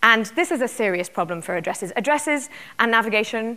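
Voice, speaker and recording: A woman's bright, sharp tone in a British accent, delivered at a very fast pace. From UK. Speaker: tech company executive. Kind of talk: keynote talk. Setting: conference stage with audience.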